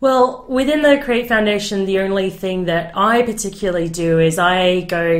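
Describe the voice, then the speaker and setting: A woman speaks fairly slowly at a medium pitch with ordinary pitch variation. Noticeable background noise runs underneath. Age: young. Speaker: youth advocate for children in care. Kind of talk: interview answer.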